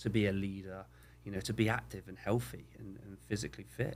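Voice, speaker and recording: Talking at a very fast pace, a man with a southwest English accent has a fairly low pitch and vocal fry. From southwest England. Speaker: youth soccer coach. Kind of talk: casual interview chat.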